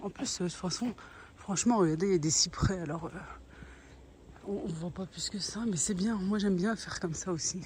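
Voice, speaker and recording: The voice is soft-spoken, with ordinary pitch variation and a fairly quick pace broken by long, frequent pauses. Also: woman, medium pitch for a woman. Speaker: family vlogger and cooking appliance seller. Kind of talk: sales pitch; casual vlog. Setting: outdoors walking. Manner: hesitant with fillers.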